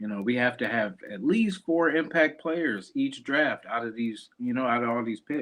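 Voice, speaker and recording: A plain, everyday voice at a moderate pace. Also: man. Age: young. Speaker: sports podcast host. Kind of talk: casual chat.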